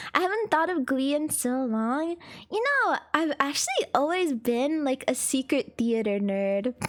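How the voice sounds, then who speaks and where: Over noticeable background noise, a woman speaks at a fairly slow pace in a high pitch with very wide pitch swings. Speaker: VTuber streamer. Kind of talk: casual chat. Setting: live stream.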